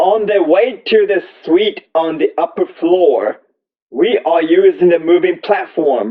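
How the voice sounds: Lively intonation at a slow pace. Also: man.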